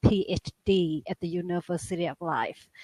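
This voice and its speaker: A woman speaks with a non-native accent in a dry, close sound with no echo. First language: not English. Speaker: guest. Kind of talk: casual chat. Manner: halting.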